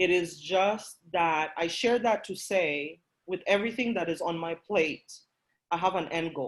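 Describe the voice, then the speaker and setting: A moderate pace in a Kenyan accent, with a passionate tone, ordinary pitch variation and long, frequent pauses. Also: woman, fairly low pitch for a woman. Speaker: workshop presenter. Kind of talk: motivational talk.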